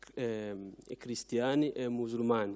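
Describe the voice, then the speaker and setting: A man speaks at a medium pitch with a non-native accent and a dark, mellow tone. His intonation is fairly even against a quiet background. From country with Christians and Muslims. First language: not Italian (speaking Italian). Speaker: audience member asking a question; audience member. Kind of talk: audience question. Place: hall. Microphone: handheld.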